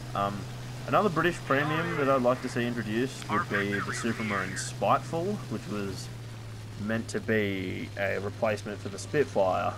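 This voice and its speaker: A man with an Australian accent, amid audible room echo and noticeable background noise. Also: lively intonation, moderate pace. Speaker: gaming YouTuber. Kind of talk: casual gameplay commentary. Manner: rambling with many fillers.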